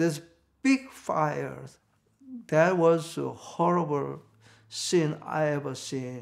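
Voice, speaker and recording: Talking in a Korean accent, a man moves at a very slow pace. Long, frequent pauses break up his speech. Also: quiet background. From North Korea, Pyongyang. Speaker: reverend, Korean War survivor. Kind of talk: oral history interview answer. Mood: reflective, recounting wartime trauma. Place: home room.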